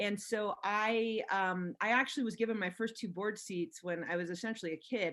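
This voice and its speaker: A plain, everyday voice with an American accent, fairly even intonation and a fairly quick pace. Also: woman. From Los Angeles, US. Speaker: venture capitalist. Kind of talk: interview. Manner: many fillers and restarts.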